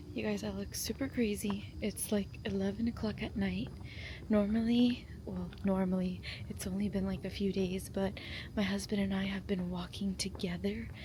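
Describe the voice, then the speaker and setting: A woman talks at a moderate pace. Room echo is audible in the recording. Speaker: lifestyle vlogger. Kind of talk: vlog.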